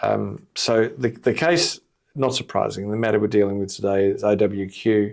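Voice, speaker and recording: Moderate pace and ordinary pitch variation, with an Australian accent. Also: man, fairly low pitch for a man. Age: 60s. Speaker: employment lawyer. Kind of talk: casual podcast discussion.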